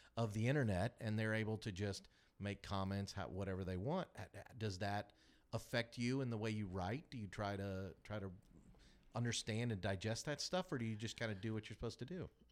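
In an American accent, a man with a fairly low pitch and ordinary pitch variation talks at a fairly quick pace in a normal speaking voice. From Kansas City. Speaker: podcast host. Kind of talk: casual interview. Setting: studio.

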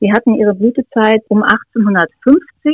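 The sound is dry and close with no echo as a woman speaks at a fairly high pitch with ordinary pitch variation. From Lower Saxony, Schneeren near Steinhuder Meer. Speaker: author. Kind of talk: interview.

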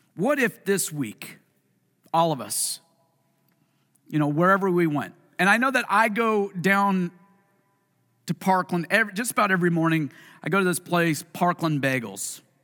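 A man's high-pitched, bright and sharp voice with a Pacific Northwest accent, animated and full of lively intonation, at a moderate pace broken by long, frequent pauses. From US Pacific Northwest (Puyallup, Washington). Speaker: pastor. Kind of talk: sermon. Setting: church with congregation.

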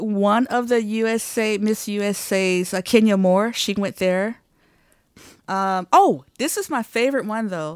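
A woman with an American accent talks at a fairly slow pace and medium pitch, using a normal speaking voice with ordinary pitch variation. The recording is very clean, with a silent background. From Detroit, Michigan. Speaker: percussionist and composer. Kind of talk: casual interview chat.

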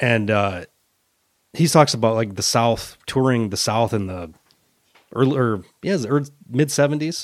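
With lively intonation and a medium pitch, a man speaks at a moderate pace broken by long, frequent pauses. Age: 40s. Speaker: metal podcast co-host. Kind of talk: casual chat.

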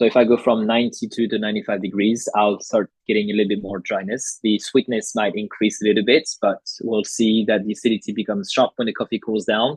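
Speaking fairly quickly with hardly any pauses, a man with a fairly low voice and a French accent keeps his intonation monotone and flat. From France. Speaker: coffee educator. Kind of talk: casual interview chat.

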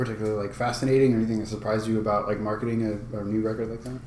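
Background noise is noticeable throughout. Over it, a man talks at a medium pitch. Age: 30s. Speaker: musician and podcast host. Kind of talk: casual chat. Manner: energetic.

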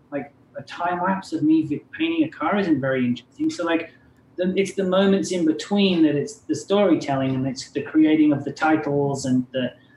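Noticeable background noise sits behind a man speaking at a moderate pace. His pitch is fairly high and varies in an ordinary way. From southern Wales. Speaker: artist. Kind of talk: casual chat.

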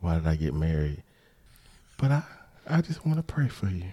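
A man's very deep, low voice has a dark, mellow tone and ordinary pitch variation. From Atlanta area, Georgia. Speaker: podcast co-host. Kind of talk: casual chat.

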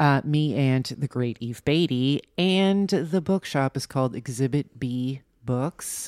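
Very slowly and with ordinary pitch variation, a woman with an American accent speaks in a very deep, low pitch, recorded dry and close with no echo on a very clean, silent background. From New Jersey. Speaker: writer and bookstore owner. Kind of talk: casual chat.

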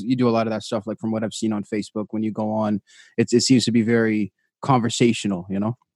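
This man speaks at medium pitch and a fairly quick pace. The background is quiet, and the sound is dry and close with no echo. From western Canada. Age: 20s. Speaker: podcast host and beginner comedian. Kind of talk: casual chat. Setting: video call.

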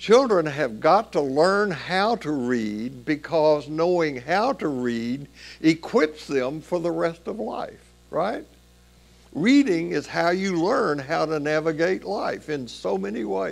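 A man speaks at a very slow pace with a fairly high pitch. His pitch swings very widely. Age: 80s+. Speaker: pastor. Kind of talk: sermon. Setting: church. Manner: halting.

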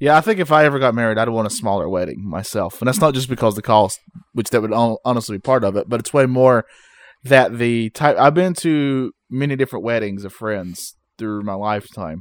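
A man talks in a normal speaking voice at a medium pitch and fairly quick pace, with ordinary pitch variation. The recording is very clean with a silent background, dry and close with no echo. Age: 30s. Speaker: podcast co-host. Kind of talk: casual chat. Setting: home recording setup.

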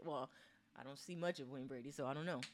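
A woman speaks softly. Her pace is very fast. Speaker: podcast co-host. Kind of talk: casual chat. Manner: soft-spoken.

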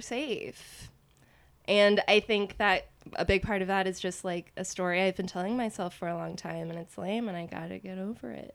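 Using a plain, everyday voice, a woman with an American accent speaks at medium pitch and a moderate pace with fairly even intonation, on a very clean recording with a silent background. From Austin, Texas. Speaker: podcaster and actor. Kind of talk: casual interview chat.

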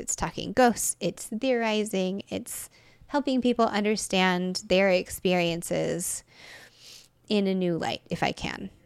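Speaking with an American accent, a woman has an ordinary speaking voice at medium pitch, a fairly slow pace and ordinary pitch variation. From Texas. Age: 30s. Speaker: tarot reader and writer. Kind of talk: casual interview chat.

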